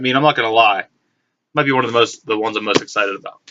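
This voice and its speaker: A man is talking. His pace is very fast. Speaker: collector vlogger. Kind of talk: casual haul vlog. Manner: halting with repetitions.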